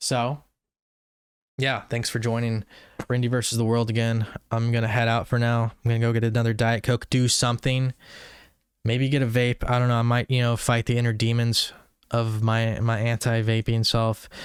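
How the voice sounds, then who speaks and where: Mumbling in a monotone, flat way, a man of medium pitch leaves long, frequent pauses on a very clean recording with a silent background. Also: moderate pace, very even loudness. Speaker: YouTuber. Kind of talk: casual monologue. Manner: mumbling, words run together.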